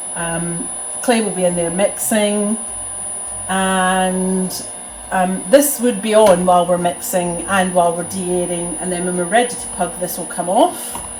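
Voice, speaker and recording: A woman at a fairly slow pace, medium pitch and fairly even intonation, with big swings in loudness, audible room echo and noticeable background noise. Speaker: potter demonstrating studio equipment. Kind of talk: tutorial. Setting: pottery studio. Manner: speaking more quietly than usual.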